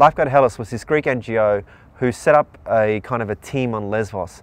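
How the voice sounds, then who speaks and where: The recording of the man's voice is dry, with no echo. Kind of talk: interview answer. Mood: earnest, moved. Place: waterside. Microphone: lapel.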